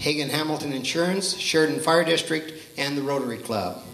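Over light background noise and audible room echo, a man with an American accent speaks at a fairly high pitch with ordinary pitch variation. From Oregon. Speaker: master of ceremonies. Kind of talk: banquet speech with jokes. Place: hall. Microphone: handheld.

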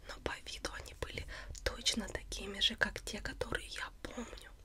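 Noticeable background noise is heard while a woman speaks fairly slowly. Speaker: ASMR channel host. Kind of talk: casual vlog chat. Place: home room.

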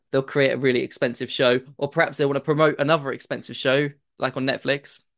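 Here a man talks with a British accent. He moves at a fairly quick pace. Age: 30s. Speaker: podcast panelist. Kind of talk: casual chat.

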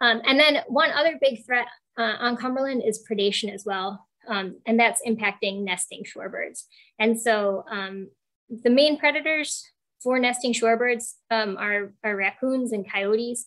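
A woman with an American accent speaks at a moderate pace and a fairly high pitch with ordinary pitch variation, over a quiet background. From Western New York; New York State. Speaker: shorebird biologist; presenter. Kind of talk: online presentation. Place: home room. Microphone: earbuds.

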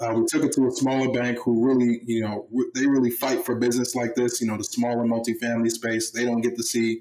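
A man with an American accent speaks in a dark, mellow tone with monotone, flat intonation against a quiet background. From Baltimore, Maryland. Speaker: former pro football player, real estate investor. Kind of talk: podcast interview. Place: home room.

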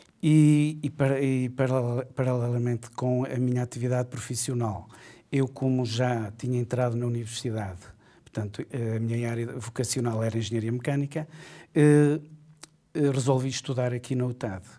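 Over a quiet background, a man with a dark, mellow tone speaks at a moderate pace with fairly even intonation. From Portugal. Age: 50s. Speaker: university administrator; interviewee. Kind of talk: interview. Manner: halting. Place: studio.

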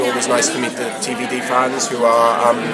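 A man talks at a moderate pace. Loud noise fills the background. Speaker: actor. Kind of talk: interview answer. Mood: cheerful, animated. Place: hall. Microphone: handheld.

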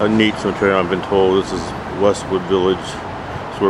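A man speaks at a moderate pace amid noticeable background noise. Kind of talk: casual vlog chat. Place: open country. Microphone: phone near.

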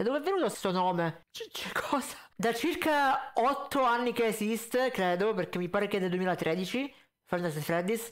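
With lively intonation, a man speaks at a moderate pace, his pitch high and his tone fairly bright.

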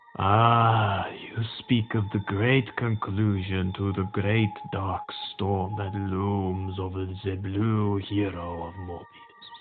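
A man does a put-on character voice at a fairly low pitch and a very slow pace. Clear music plays in the background. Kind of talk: mock-grand oracle speech. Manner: solemn, wise, gently teasing.

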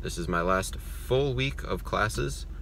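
A man speaks with a dry sound and no echo while loud noise fills the background. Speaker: college student vlogger. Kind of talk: casual vlog chat. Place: car. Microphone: phone near.

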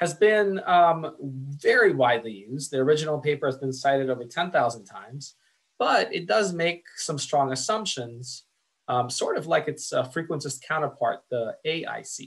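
A man talks at a moderate pace with lively intonation. His voice is somewhat breathy. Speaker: lecturer. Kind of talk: lecture.

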